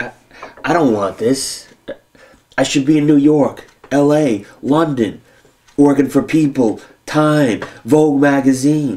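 A man talks at a fairly slow pace, leaving long, frequent pauses. His pitch varies in an ordinary way. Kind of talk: scripted drama dialogue. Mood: frustrated, restless. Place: home room.

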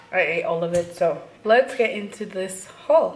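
Behind the speaker there is noticeable background noise. The voice is a woman's. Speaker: lifestyle vlogger. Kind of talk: casual vlog chat. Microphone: phone near.

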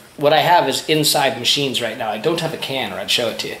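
The speaker has an American accent. Audible room echo surrounds the voice. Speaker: homesteader demonstrating repair. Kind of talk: tutorial. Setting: outdoors. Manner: casual, conversational. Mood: relaxed, jokey. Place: home room. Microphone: phone near.

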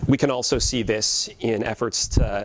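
The pace is fairly slow. A man does the talking. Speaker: historian of science. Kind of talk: lecture. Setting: stage with audience. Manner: many filler words, halting. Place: classroom.

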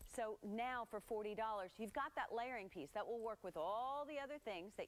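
A woman's voice at a moderate pace with ordinary pitch variation. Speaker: TV shopping channel host. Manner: bubbly, gushing saleswoman, piling up superlatives; chatty and conversational, talking straight to viewers at home. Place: studio. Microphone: lapel.

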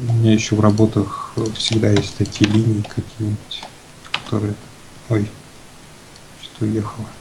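Against noticeable background noise, a man speaks in a fairly low, monotone, flat voice, broken by long, frequent pauses. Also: moderate pace. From Russia, Chelyabinsk. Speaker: concept artist. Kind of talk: casual chat while painting. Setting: remote call via Skype on live stream. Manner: halting. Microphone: poor, noisy microphone.

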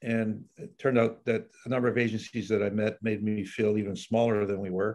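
A man speaks at a fairly quick pace and fairly low pitch. His intonation is flat and monotone against a quiet background. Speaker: guest. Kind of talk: interview answer. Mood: relaxed, reflective. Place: office. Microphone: video call.

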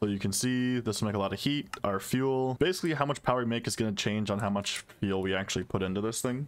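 Lively intonation in an unremarkable speaking voice. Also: man. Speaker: gaming YouTuber. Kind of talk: gameplay commentary, casual. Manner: casual, rambling.

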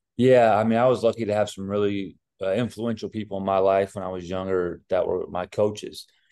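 A man's fairly low-pitched, normal speaking voice at a fairly quick pace, against a quiet background. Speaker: basketball head coach. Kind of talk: interview answer. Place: office. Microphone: video call.

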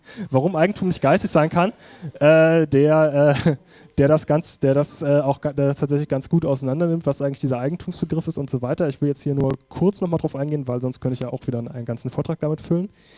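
A man at a fairly high pitch, very fast pace and fairly even intonation. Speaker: politician giving a talk. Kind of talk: conference lecture. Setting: conference stage with audience.

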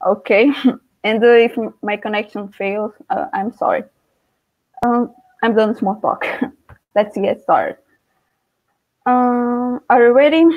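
Music plays in the background as a woman with a high voice speaks with ordinary pitch variation and long, frequent pauses. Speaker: guest teacher. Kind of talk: lecture. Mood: slightly nervous, friendly. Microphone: webcam.

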